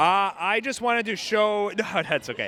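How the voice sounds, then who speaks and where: A man keeps a moderate speed while music runs behind him. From Ukraine. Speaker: protester. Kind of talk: street interview. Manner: halting, stammering.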